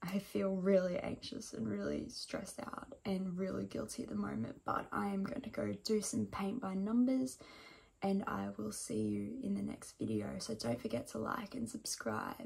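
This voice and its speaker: A woman puts on a croaky, raspy character voice at a medium pitch. She keeps a moderate pace. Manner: casual, tired, self-deprecating.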